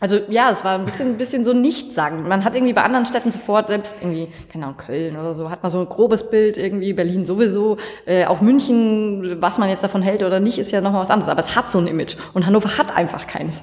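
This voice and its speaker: At a very fast pace, a woman with a slight Franconian accent talks at a medium pitch with ordinary pitch variation. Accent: slight Franconian, barely noticeable. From Franconia, Bavaria. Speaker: coworking space member. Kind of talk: casual interview.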